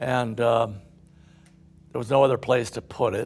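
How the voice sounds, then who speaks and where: A man talks at medium pitch with ordinary pitch variation and vocal fry. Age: 80s+. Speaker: company founder, construction executive. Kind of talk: casual conversation.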